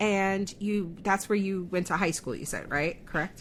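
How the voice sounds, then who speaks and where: The tone is animated. The recording is very clean, with a silent background. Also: woman. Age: 40s. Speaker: podcast host. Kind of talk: casual interview chat.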